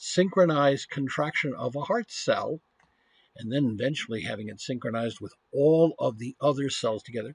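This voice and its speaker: The voice is somewhat breathy, with a Western Massachusetts accent. The sound is dry and close, with no echo. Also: man. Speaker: university professor. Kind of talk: lecture.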